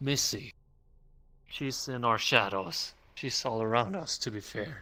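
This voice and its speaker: In a very clean recording with a silent background, a man puts on a character voice at medium pitch and a fairly slow pace. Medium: game stream. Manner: calm, ominous.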